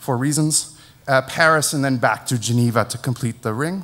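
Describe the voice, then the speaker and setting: A medium-pitched man's voice with an American accent and fairly even intonation. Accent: American-sounding. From Netherlands. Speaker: network engineer. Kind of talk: conference talk. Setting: stage with audience.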